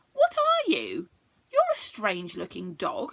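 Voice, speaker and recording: Speaking fairly slowly, this woman talks. She puts on a character voice. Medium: read story. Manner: excitable, giggly.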